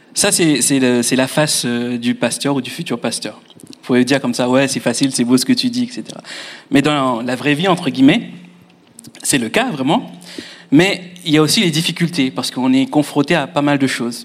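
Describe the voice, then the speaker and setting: A man talks at a moderate pace in a normal speaking voice. His pitch sits fairly high, with ordinary variation. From Mauritius. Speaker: future pastor. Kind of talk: testimony.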